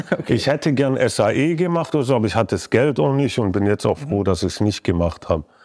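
A man talks at a very fast pace with hardly any pauses and very wide pitch swings. His voice carries vocal fry. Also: medium pitch for a man, very even loudness. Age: 30s. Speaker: music producer. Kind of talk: casual chat. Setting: songwriting camp.

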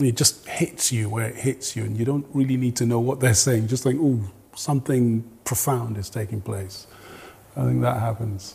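A somewhat breathy man's voice of medium pitch, dark and mellow, at a moderate pace with fairly even intonation. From Nigeria. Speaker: jazz and soul singer. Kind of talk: interview.

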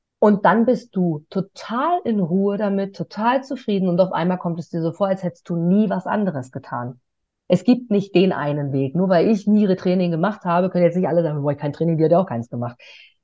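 An energetic woman talking at a fairly quick pace, with lively intonation. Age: 30s. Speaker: stage host and interviewer. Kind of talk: interview.

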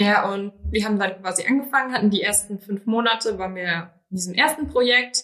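The woman here has a normal speaking voice. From Rhineland-Palatinate, Germany. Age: 20s. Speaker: business trainee. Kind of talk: interview conversation.

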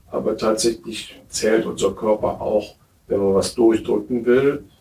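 A man speaks with fairly even intonation. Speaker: physician. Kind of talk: interview. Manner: hesitant.

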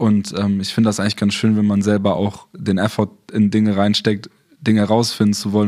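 The voice moves at a very fast pace in a monotone, flat intonation. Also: man. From southern Germany. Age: 20s. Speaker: photographer and videographer. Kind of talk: interview.

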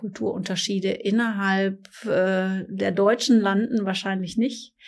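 A woman speaks with fairly even intonation in a very clean recording with a silent background. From Ruhr area, Germany (Essen). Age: 50s. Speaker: corporate podcast co-host. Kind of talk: casual chat. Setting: company office.

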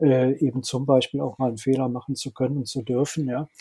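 This man has a fairly high pitch and a dark, mellow tone, talking at a moderate pace. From Germany, Rhineland (Linz am Rhein). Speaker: HR and strategy consultant. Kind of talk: interview. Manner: halting, many filler sounds.

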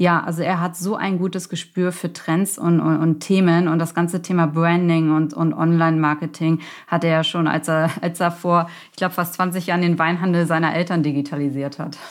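On a very clean recording with a silent background, a woman speaks at a moderate pace. Her fairly low voice is monotone and flat. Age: 40s. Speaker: startup founder and consultant. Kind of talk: interview. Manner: casual, many fillers.

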